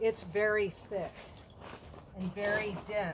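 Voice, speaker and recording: A woman at a very slow pace. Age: 60s. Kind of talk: casual talk while working.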